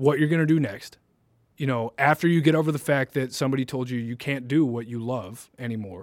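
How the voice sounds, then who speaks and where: With a plain, everyday voice, a man speaks at a moderate pace with lively intonation on a very clean recording with a silent background. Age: 20s. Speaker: college podcast co-host. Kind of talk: casual chat.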